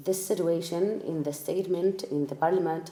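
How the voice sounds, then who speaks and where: A woman's fairly low voice, dark and mellow in tone, with an Arabic accent. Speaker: refugee interviewee. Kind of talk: personal testimony. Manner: halting, many fillers.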